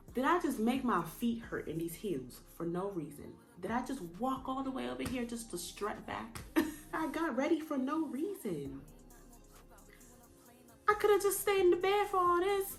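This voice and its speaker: Music plays behind a woman whose high voice makes very wide pitch swings, broken by long, frequent pauses. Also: moderate pace. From Jamaica. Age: 20s. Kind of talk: casual storytime talk to camera.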